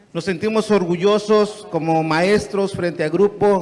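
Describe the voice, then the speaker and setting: A man with a Mexican accent and fairly even intonation, over noticeable background noise. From Guerrero, Mexico. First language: Nahuatl (speaking Spanish). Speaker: teacher. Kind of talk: audience question at a lecture. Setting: auditorium with audience.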